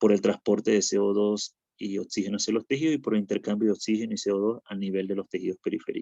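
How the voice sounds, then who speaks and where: Talking at a very fast pace with hardly any pauses, a man sounds dry and close with no echo. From Venezuela. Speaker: physician lecturer. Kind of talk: lecture.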